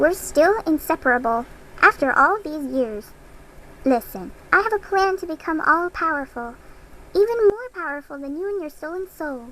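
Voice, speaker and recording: A put-on character voice, pitched high. It moves at a moderate speed. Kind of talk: video game character dialogue. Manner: menacing, mocking.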